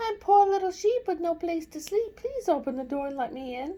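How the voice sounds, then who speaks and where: An extremely high, squeaky put-on character voice, soft-spoken, at a moderate pace. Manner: sweet, feigning innocence.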